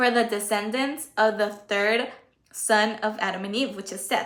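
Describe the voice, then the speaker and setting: A woman with a Spanish accent speaks at a moderate pace over audible room echo. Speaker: Bible teacher on livestream. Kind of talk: Bible study livestream. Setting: livestream. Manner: halting.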